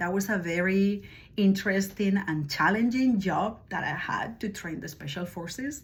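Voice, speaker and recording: A woman speaks at a medium pitch with a Spanish accent. Audible room echo surrounds her voice. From Spain, Madrid. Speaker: language teacher. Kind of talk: self-introduction video. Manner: hesitant, many fillers.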